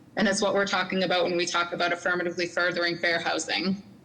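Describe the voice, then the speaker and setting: Over noticeable background noise, a woman talks very fast at a medium pitch. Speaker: city housing policy manager. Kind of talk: presentation at public meeting.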